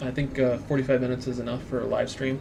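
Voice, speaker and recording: Music plays in the background. A man with a fairly high pitch talks at a fairly quick pace. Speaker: 3D printing maker and YouTuber. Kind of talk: live stream tutorial. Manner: halting with many fillers; casual, rambling.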